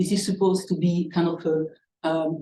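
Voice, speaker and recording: A woman's somewhat breathy, dark and mellow voice at a medium pitch, with a non-native accent, a moderate pace and audible room echo. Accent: foreign. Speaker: scientist, seminar speaker. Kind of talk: lecture. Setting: seminar room with live and online audience. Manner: halting, many fillers.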